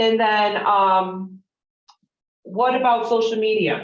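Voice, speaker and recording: A woman with a Chicago accent and ordinary pitch variation. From Chicago, US Midwest. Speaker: real estate trainer. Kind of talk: interactive training session.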